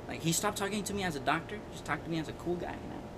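A man speaks at a very fast pace, and noticeable background noise can be heard behind him. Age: 20s. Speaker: podcast co-host, student. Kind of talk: casual chat.

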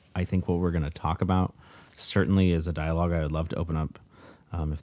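A man with a very deep, low pitch and a dark, mellow tone keeps a fairly even intonation on a very clean recording with a silent background. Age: 30s. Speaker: podcast co-host, family counselor. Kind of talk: casual chat. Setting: home basement, in person.

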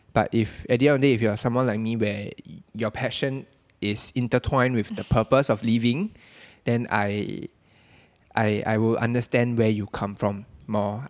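Recorded dry and close with no echo, a normal speaking voice carries ordinary pitch variation. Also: man. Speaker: podcast host. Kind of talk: casual chat.

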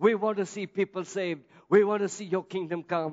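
A man talks in a high voice. His tone is animated and passionate. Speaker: pastor. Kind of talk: sermon, preacher in full flow, rising into fervent prayer and call-and-response. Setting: church. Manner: animated, passionate, urgent, exhorting the congregation; bold, rhetorical, builds with repeated phrases.

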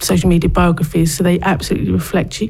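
A plain, everyday voice at a moderate pace. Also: woman. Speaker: social media expert. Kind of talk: interview. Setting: studio.

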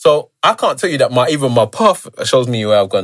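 Recorded very cleanly against a silent background, a man with a plain, everyday voice speaks fairly quickly at a fairly high pitch, with ordinary pitch variation. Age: 30s. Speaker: podcast host. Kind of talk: casual chat.

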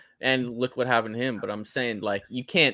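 This man has a bright, sharp tone at medium pitch with ordinary pitch variation. The recording is very clean with a silent background and a dry, close sound with no echo. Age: 20s. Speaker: recurring podcast guest. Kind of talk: casual chat.

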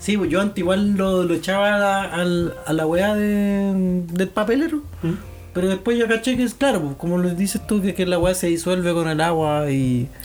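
Music plays in the background. The speaker keeps a moderate pace with ordinary pitch variation and very even loudness. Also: man, high pitch for a man. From Chile, Santiago. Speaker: podcast host. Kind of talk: casual chat.

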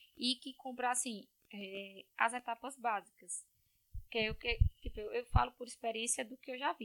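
A woman talks at a moderate pace in a high voice with ordinary pitch variation. The sound is dry and close, with no echo. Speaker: civil engineer. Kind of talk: casual chat.

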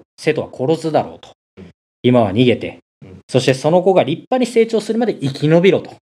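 The voice has vocal fry and very wide pitch swings at a fairly quick pace. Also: man, big swings in loudness. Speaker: motorcycle podcast host. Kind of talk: casual monologue explaining mythology.

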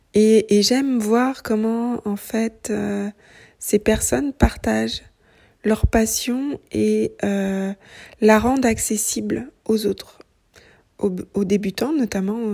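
A woman's fairly high, somewhat breathy voice with a dark, mellow tone, fairly even intonation and a very slow pace. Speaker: knitting podcaster. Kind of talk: casual monologue. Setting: at home. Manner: hesitant, many fillers.

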